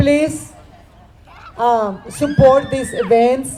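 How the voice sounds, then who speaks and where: Fairly slow, high-pitched speech from a woman, with ordinary pitch variation and crowd noise in the background. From Mexico, Sinaloa. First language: Spanish. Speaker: event host, artist and teacher. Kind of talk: event emcee speech.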